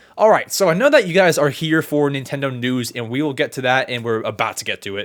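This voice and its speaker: Over a very clean recording with a silent background, a man speaks in an animated tone at a fairly quick pace. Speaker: podcast host. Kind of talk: casual chat.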